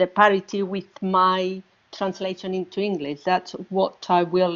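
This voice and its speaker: A woman is speaking. She has a Spanish accent. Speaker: audience member, translator. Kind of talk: audience question. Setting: virtual event. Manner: halting, searching for words.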